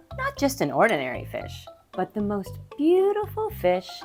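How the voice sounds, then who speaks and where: A woman talks at a moderate pace. Music is playing in the background. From Canada. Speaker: kindergarten teacher and voiceover actor. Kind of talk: children's read-aloud.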